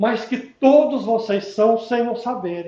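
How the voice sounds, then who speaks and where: Audible room echo surrounds a man's dark, mellow tone as he speaks at a very slow pace. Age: 70s. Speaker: spiritist lecturer. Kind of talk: public lecture. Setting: spiritist center with audience. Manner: casual, conversational.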